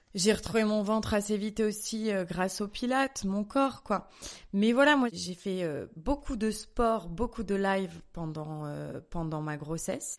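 A woman's medium-pitched voice at a fairly slow pace with lively intonation. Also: quiet background. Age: 30s. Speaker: wellness journalist and fitness coach. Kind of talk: personal testimony in casual interview. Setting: at her home. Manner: hesitant, many fillers and repetitions.

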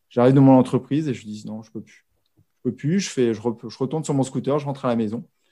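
Very fast and dark-toned, a man's mellow, medium-pitched voice moves with ordinary pitch variation on a very clean recording with a silent background. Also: big swings in loudness. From Brittany, France. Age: 40s. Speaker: podcaster, former corporate employee. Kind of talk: interview conversation. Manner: halting, many hesitations and repetitions.

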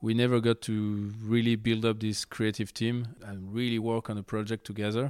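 A man talks in a French accent. His intonation is monotone and flat, and the sound is dry and close with no echo. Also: medium pitch for a man, moderate pace, hardly any pauses. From France, Lyon. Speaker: skate videographer and photographer. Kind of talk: interview. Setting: at his home.

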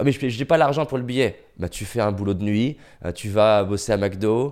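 A man talks in an ordinary speaking voice. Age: 30s. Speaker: motivational speaker. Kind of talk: casual chat. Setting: recorded during lockdown.

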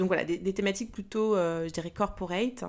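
The recording is very clean with a silent background. A woman speaks at a fairly low pitch. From Paris region, France. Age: 40s. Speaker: business coach and podcaster. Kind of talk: casual monologue. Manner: hesitant with fillers; spontaneous, unscripted.

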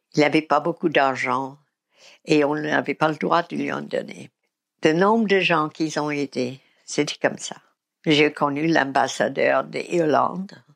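A woman with an American accent speaks fairly slowly at a very deep, low pitch, with vocal fry and ordinary pitch variation. The sound is dry and close with no echo, in a very clean recording with a silent background. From US South, Mississippi. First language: English (speaking French). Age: 80s+. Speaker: recovering alcoholic sharing her story. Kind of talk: testimony. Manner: halting.

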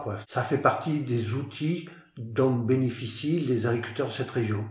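With audible room echo and noticeable background noise, a man speaks at a fairly slow pace with ordinary pitch variation. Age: 60s. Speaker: farmer. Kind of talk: interview. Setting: on his farm. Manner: halting, frequent repetitions.

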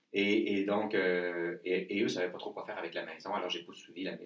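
Speaking fairly quickly, a man talks with a Quebec accent. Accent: Québécois French. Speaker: leadership trainer and author. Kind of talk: interview.

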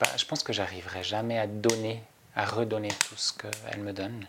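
Someone with a Swiss German accent speaks at a moderate pace over noticeable background noise. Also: man. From Switzerland, Zurich area. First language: Swiss German (speaking French). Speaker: nature guide and trainer. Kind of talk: interview. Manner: halting, many hesitations.

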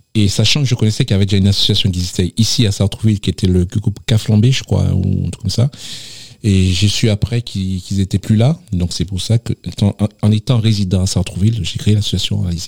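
A plain, everyday voice, a man's, sits at a fairly low pitch and a fairly quick pace with fairly even intonation and a dry, close sound with no echo. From Martinique, south (Le Vauclin). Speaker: association president. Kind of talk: radio interview.

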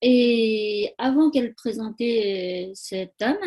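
A fairly high-pitched woman with a Tibetan accent and fairly even intonation. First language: Tibetan (speaking French). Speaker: spa owner and massage therapist. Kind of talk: interview conversation. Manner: halting.

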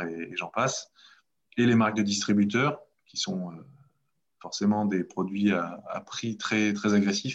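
A man's fairly low voice at a fairly slow pace, over a quiet background. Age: 30s. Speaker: entrepreneur and local politician. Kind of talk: casual interview. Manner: halting, many hesitations.

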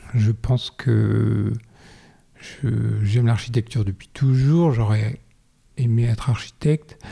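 The speech moves at a very slow pace with long, frequent pauses, and its loudness stays very even. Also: man. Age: 40s. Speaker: ceramist and art director. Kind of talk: interview. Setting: at his home. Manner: halting.

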